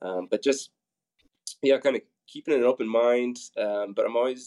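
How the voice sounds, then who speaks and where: With a Midwestern American accent, a man talks at medium pitch in a monotone, flat way. His tone is dark and mellow, and the sound is dry and close with no echo. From Nebraska, Papillion. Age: 40s. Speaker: fitness group workout leader. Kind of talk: interview.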